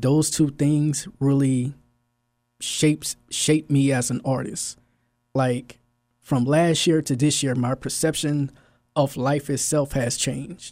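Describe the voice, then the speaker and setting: On a very clean recording with a silent background, a man speaks at a very slow pace and fairly high pitch with fairly even intonation. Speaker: photographer and poet, exhibit artist. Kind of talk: casual interview. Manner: soft-spoken.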